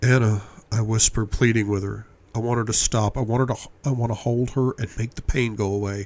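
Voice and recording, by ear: A passage is read aloud in a natural voice.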